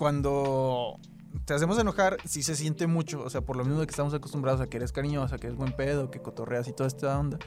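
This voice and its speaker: A man with a Mexican accent, fairly high in pitch, talking at a very fast pace. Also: ordinary pitch variation. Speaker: podcast co-host. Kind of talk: casual chat.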